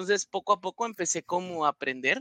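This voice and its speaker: A man with a high pitch and a bright, sharp tone is recorded with a dry, close sound and no echo. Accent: Guatemalan. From Guatemala. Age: 20s. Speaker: NFL fan panelist. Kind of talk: casual panel discussion.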